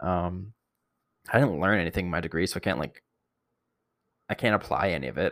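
With a Canadian accent and vocal fry, the speaker talks very fast in a dry, close sound with no echo on a very clean recording with a silent background. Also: man. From Ontario, Canada (Barrie). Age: 20s. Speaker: podcaster. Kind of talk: casual solo monologue. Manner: unscripted, hesitant with fillers.

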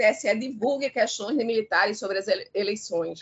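A moderate pace and ordinary pitch variation. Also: woman. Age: 50s. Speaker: law professor. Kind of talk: live radio discussion. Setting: live radio broadcast. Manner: halting, many fillers.

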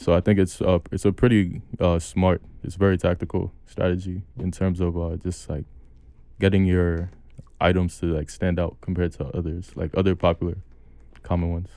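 Very deep, low male voice with a New York accent, a dark, mellow tone, fairly even intonation and a moderate pace. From New York City (Brooklyn). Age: 20s. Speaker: podcast host. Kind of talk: casual chat. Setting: studio.

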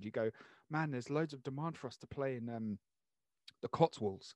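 A man with a British accent speaks at a very fast pace in a medium pitch with ordinary pitch variation. The sound is dry and close, with no echo. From Channel Islands (Jersey). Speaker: podcast host. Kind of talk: casual chat.

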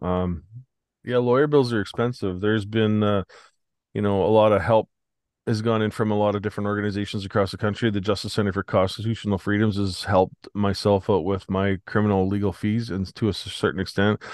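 Here a man speaks with a Canadian prairie accent. His pitch is fairly low and his intonation monotone and flat. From Saskatchewan, Canada. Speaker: protest organizer. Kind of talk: casual interview. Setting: home, remote call.

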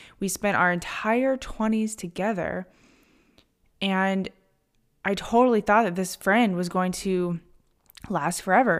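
In a very clean recording with a silent background, a woman speaks at a medium pitch and a moderate pace, her tone animated and her pitch variation ordinary. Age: 30s. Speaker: podcast host and mindset coach. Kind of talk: solo monologue podcast.

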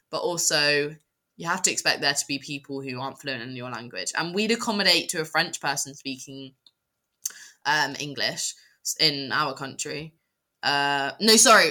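Bright and sharp, this voice has a British accent and lively intonation at a moderate pace. Loudness swings widely, long pauses come often, and the recording is very clean with a silent background. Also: woman, very deep, low pitch for a woman. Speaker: podcast co-host. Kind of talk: casual chat.

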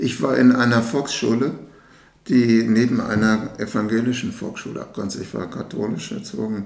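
Over noticeable background noise and audible room echo, a man with a medium pitch speaks at a moderate pace, his intonation fairly even and his loudness swinging widely. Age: 70s. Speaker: interviewer. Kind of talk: interview.

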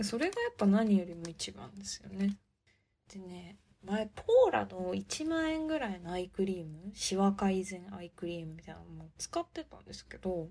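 A woman at a moderate pace, her loudness swinging widely, in a very clean recording with a silent background. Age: 20s. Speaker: podcast host. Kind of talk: casual monologue. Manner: speeds up when excited.

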